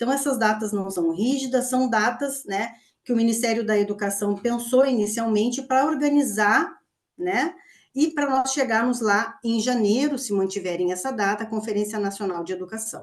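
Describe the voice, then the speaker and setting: A woman speaks in a normal speaking voice, pitched fairly high. Her pace is moderate and her pitch variation ordinary. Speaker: university lecturer. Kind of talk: online presentation.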